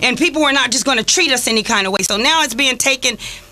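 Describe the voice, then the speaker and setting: A woman speaks in a raised, projected voice with a high pitch. Noticeable background noise is present. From Los Angeles, California (Watts, Inglewood). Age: 50s. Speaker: community activist. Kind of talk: radio talk show discussion.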